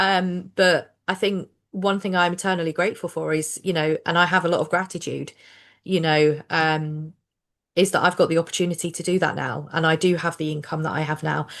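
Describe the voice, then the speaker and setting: The delivery is flat and monotone, at a fairly quick pace, in a southern English accent. The background is quiet. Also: woman, fairly low pitch for a woman. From southern England. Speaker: social worker and finance coach. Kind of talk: casual chat. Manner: conversational with fillers.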